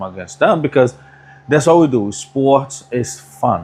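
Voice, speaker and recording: Amid noticeable background noise, a man speaks with a Brazilian accent. His pace is moderate and his intonation lively. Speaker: barber. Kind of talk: casual chat.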